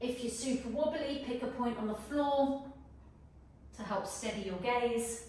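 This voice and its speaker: In strong room echo, a woman with a high pitch speaks at a fairly slow pace with fairly even intonation. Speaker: fitness instructor. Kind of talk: guided follow-along workout with timed cues. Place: home room.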